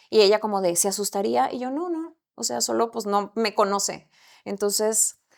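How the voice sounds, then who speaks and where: A woman of medium pitch, with a plain, everyday voice, talks at a moderate pace with lively intonation. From Mexico, Camargo, Chihuahua. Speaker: actress. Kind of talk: casual chat.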